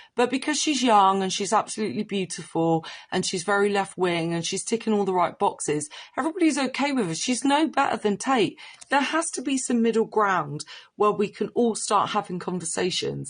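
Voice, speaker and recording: A woman with a strong Cornish accent, fairly high pitch, lively intonation and a fairly quick pace. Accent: rich Cornish. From Cornwall. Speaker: social media commentator. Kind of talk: off-the-cuff commentary.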